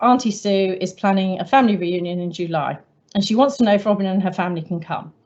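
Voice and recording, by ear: A natural voice reading aloud, pitch varying in an ordinary way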